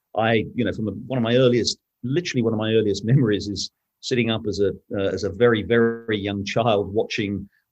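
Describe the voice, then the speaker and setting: A man with a British accent talks very fast in a medium-pitched voice, his intonation fairly even. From Britain. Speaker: newspaper editor and journalist. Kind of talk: interview conversation. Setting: podcast interview. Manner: halting, with many restarts.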